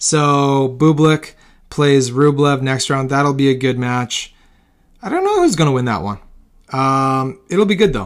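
A man with a fairly high pitch speaks fairly slowly, his pitch varying by an ordinary amount. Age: 40s. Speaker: tennis podcast host. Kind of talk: casual solo commentary. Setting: hot dark room at home.

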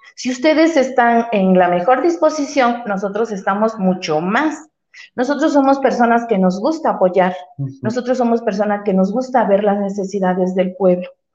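A woman with an unremarkable speaking voice talks at a moderate pace, fairly high in pitch, with lively intonation. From Veracruz, Mexico. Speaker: community activist. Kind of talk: interview.

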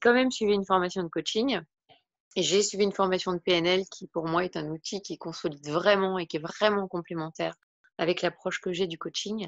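In a plain, everyday voice, a woman speaks at a fairly quick pace with medium pitch and fairly even intonation. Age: 40s. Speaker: wellbeing and personal development coach. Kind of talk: interview.

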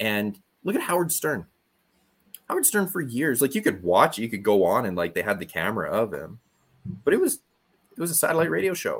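Very wide pitch swings and vocal fry run through a man's fairly high voice in a very clean recording with a silent background. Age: 30s. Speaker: podcast coach. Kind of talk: interview.

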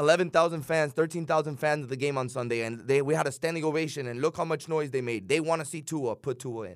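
Fairly quick and with hardly any pauses, a man talks in a Miami accent. His pitch is fairly high and varies an ordinary amount. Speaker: radio co-host. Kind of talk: casual radio chat.

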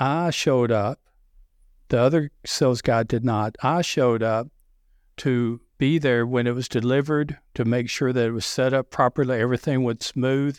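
In a strong Southern US accent, a man talks at a moderate pace with fairly even intonation on a very clean recording with a silent background. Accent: deep Southern US. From US South. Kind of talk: interview about sales.

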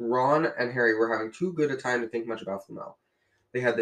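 With a quiet background behind it, the plain reading aloud has ordinary pitch variation.

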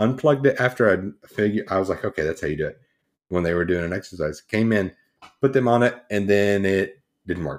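The recording is very clean, with a silent background. A plain, everyday voice moves at a fairly quick pace with ordinary pitch variation. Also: man, fairly low pitch for a man. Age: 20s. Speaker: podcast co-host. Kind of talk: casual chat.

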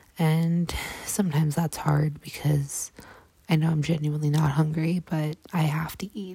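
Over noticeable background noise, a woman with a very deep, low pitch speaks in a monotone, flat intonation. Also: moderate pace. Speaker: podcast host sharing survivor story. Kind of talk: personal testimony monologue. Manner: halting, with fillers and repetitions.

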